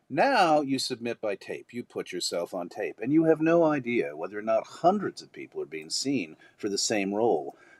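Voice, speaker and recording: A man at a moderate pace with hardly any pauses and big swings in loudness, the sound dry and close with no echo. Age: 60s. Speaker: actor. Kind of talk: panel discussion.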